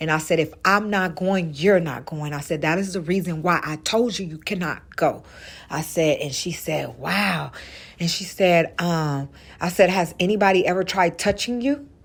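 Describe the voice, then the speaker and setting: A quiet woman's voice, fairly low in pitch, at a moderate pace with ordinary pitch variation, in a very clean recording with a silent background. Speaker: mother sharing personal story. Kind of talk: voice message testimony. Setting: recorded voice message in garage. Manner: quiet, hushed.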